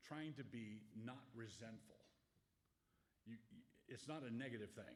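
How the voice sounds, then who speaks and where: Fairly slow speech from a man, ordinary pitch variation, audible room echo. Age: 70s. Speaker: pastor. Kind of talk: Q&A talk to an audience. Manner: halting, self-correcting.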